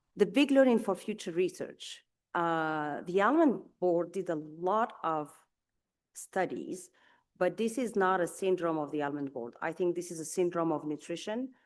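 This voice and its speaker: A woman with a non-native accent speaks at a moderate pace in a fairly low voice with lively intonation against a quiet background. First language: not English. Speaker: nutrition scientist. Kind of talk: conference talk. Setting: conference session. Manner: halting, many fillers.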